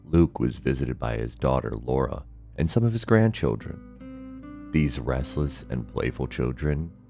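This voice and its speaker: Moderate-paced speech with music in the background. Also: man. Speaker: storyteller. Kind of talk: bedtime story.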